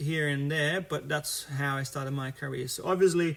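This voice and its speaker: In a very clean recording with a silent background, a man sounds somewhat breathy, keeping fairly even intonation at a moderate pace. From Brazil. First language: Portuguese. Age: 30s. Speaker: futsal coach. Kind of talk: live stream talk about his career. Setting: live stream video. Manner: halting, many fillers.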